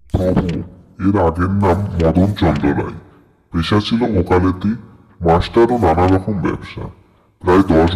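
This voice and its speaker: A man puts on a cartoonish character voice with a very deep, low pitch. He keeps a moderate pace and fairly even intonation. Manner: deferential, precise.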